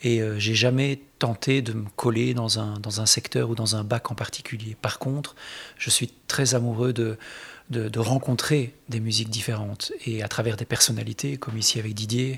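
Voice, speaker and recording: At a moderate pace, a man speaks with a medium pitch, a somewhat breathy sound and a monotone, flat intonation. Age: 40s. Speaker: guitarist. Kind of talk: interview.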